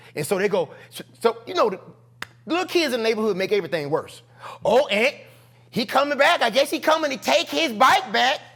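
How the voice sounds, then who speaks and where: With noticeable background noise behind him, a man with an extremely high voice speaks in an animated tone, swinging his pitch very widely at a fairly quick pace broken by long, frequent pauses. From US South, Charlotte, North Carolina. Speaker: comedian. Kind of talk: storytelling in casual interview. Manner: animated, acts out voices.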